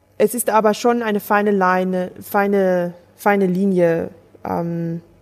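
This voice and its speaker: The woman's intonation stays monotone and flat. Her pitch is medium. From Germany. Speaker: theologian, pastor candidate. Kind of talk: sermon; interview. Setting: Skype call.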